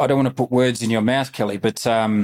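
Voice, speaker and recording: With an Australian accent, a man talks at a moderate pace and medium pitch, his intonation fairly even, on a very clean recording with a silent background. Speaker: podcast host and company CEO. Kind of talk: casual interview.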